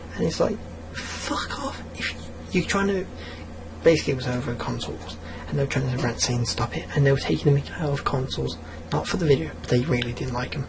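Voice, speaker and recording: A quiet man with an English accent, medium pitch, very wide pitch swings and a fairly quick pace, amid audible room echo and noticeable background noise. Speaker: gaming YouTuber. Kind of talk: rant. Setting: at home late at night. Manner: speaking quietly; animated. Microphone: audio too quiet.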